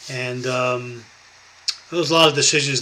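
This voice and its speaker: A man speaks in a New York accent at medium pitch and a moderate pace. His intonation is fairly even, and there is noticeable background noise. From New York, Westchester County. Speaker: YouTuber, prepping and Bible channel. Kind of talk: personal vlog monologue. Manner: halting.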